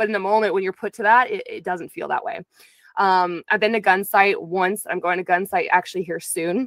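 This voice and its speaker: Fairly quick and fairly even in intonation, a woman speaks with a dry sound with no echo against a quiet background. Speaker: interview guest. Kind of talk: interview answer. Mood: earnest, reflective. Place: home room. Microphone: studio mic.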